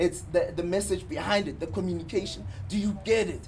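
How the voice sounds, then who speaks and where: Very wide pitch swings mark a man's voice over music in the background. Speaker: advertising copywriter. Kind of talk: talk to an audience. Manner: halting, repeats words.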